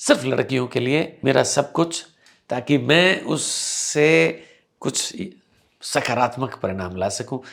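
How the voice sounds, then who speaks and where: On a very clean recording with a silent background, a man talks with vocal fry and lively intonation. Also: medium pitch for a man. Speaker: English teacher and event anchor. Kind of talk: interview.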